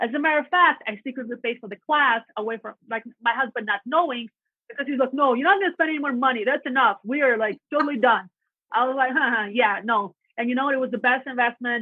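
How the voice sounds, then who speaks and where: A woman talks at a fairly quick pace with a Russian accent. Her voice is high-pitched. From Latvia. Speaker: real estate agent. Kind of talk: podcast interview. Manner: animated.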